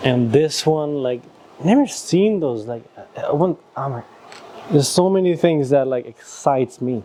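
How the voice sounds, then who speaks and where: A man with a Nepali accent and fairly high pitch speaks against noticeable background noise. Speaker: YouTuber. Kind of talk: casual chat.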